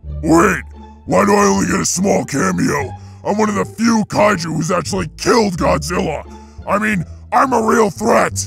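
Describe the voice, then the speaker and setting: A growling, put-on character voice at a moderate pace, with clear music in the background. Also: man. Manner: yelling, indignant.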